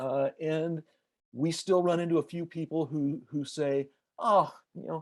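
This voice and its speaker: A man's normal speaking voice, fairly high in pitch and fairly slow, with fairly even intonation and a dry, close sound with no echo against a quiet background. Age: 60s. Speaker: sports editor. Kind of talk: interview.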